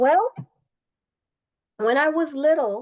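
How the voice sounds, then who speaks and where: A woman with a Guyanese accent at a fairly slow pace, her pitch varying in an ordinary way. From Guyana, East Coast. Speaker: naturopath and massage therapist. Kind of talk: interview.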